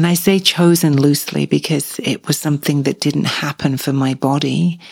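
A woman speaks at a moderate pace with a very deep, low pitch and some vocal fry. Her pitch varies in an ordinary way, and the sound is dry and close with no echo. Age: 50s. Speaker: podcast host. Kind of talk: solo podcast monologue.

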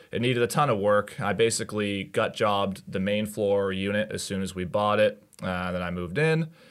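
In a plain, everyday voice, a man talks at a fairly quick pace with a fairly low pitch, ordinary pitch variation and hardly any pauses. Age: 20s. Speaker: real estate agent. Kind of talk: casual chat.

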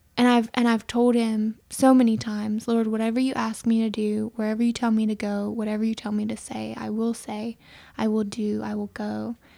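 An American accent in a dark, mellow tone, fairly quick and monotone, with hardly any pauses on a very clean recording with a silent background. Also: woman, fairly high pitch for a woman. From US South, Aiken, South Carolina (Mennonite community). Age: young. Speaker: worship leader. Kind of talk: testimony.

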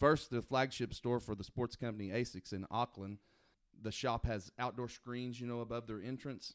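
This man speaks in an American accent at a medium pitch and moderate pace, with a normal speaking voice and fairly even intonation. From Oklahoma. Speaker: podcast co-host. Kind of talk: casual chat.

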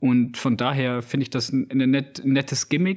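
An unremarkable speaking voice from a man, medium in pitch, at a moderate pace. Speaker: podcast host, film reviewer. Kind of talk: casual chat.

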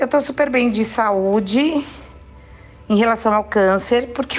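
The speech comes at a fairly slow pace, with noticeable background noise. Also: woman. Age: 50s. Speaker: cancer patient sharing her experience. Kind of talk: testimony. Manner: spontaneous, lively.

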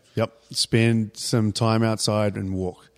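The recording is very clean with a silent background, and a man with a New Zealand accent speaks in a fairly low pitch with monotone, flat intonation. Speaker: fitness coach and gym owner. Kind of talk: interview.

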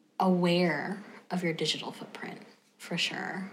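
A woman speaks at a fairly slow pace in a medium pitch. Noticeable background noise runs under her voice. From US South, North Carolina. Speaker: former music therapist. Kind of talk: interview.

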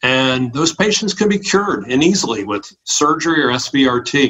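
A man's fairly high voice with ordinary pitch variation, an unremarkable speaking voice. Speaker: primary care physician. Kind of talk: interview.

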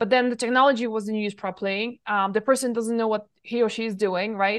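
With an unremarkable speaking voice, a woman talks at a fairly quick pace and fairly high pitch, her intonation fairly even. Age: 40s. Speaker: nutrition expert and herbalist. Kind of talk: interview. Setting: remote call.

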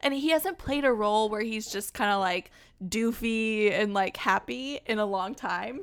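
This woman has a normal speaking voice pitched fairly high. She talks at a moderate pace with ordinary pitch variation. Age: 30s. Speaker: podcast host. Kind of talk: casual chat. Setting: video call.

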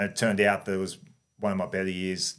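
A man's fairly low-pitched voice with an Australian accent, in a very clean recording with a silent background. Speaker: former cricketer. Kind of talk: interview.

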